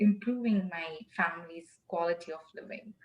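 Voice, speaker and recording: Moderately paced speech from a woman, somewhat breathy. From South India, Chennai. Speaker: tech product manager. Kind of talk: interview. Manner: hesitant, many fillers.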